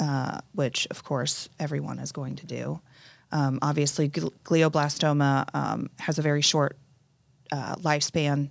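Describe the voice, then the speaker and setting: Vocal fry runs through fairly even intonation on a very clean recording with a silent background. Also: woman, very deep, low pitch for a woman, fairly slow pace. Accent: American. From Indianapolis, Indiana, US Midwest. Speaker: widow of a cancer patient. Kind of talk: interview testimony. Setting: studio.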